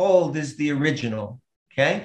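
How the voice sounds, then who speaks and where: A man speaks at a very slow pace with audible room echo. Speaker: remote interview guest. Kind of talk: interview answer. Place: home room. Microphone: webcam.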